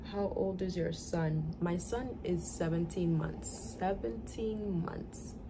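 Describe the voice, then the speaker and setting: Noticeable background noise sits behind a woman with an American accent who speaks at a very slow pace with hardly any pauses. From US Northeast, New York (the Bronx). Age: 20s. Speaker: vlogger, young mother. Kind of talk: casual Q&A vlog. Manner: casual, conversational.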